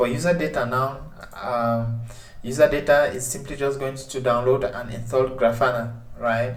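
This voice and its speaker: Amid noticeable background noise and audible room echo, a man of medium pitch speaks at a moderate pace with fairly even intonation and big swings in loudness. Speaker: tech tutorial presenter. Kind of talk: tutorial. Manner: hesitant, many filler sounds.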